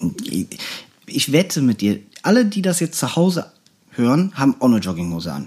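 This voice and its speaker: Long, frequent pauses break up a man's speech. His fairly high voice swings very widely in pitch. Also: moderate pace. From Germany, North Rhine-Westphalia. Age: 30s. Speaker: podcast co-host. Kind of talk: casual chat.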